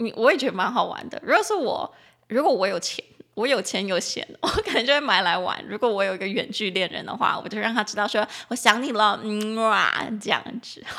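Her voice fairly high with a bright, sharp tone, a woman speaks in an animated tone at a fairly quick pace with ordinary pitch variation. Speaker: English teacher podcast host. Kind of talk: language-teaching podcast. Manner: animated, chatty.

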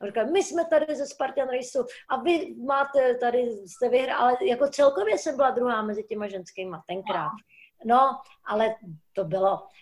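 Lively intonation from a woman with a high voice, at a moderate speed. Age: 60s. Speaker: stuntwoman. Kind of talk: casual chat. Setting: video call.

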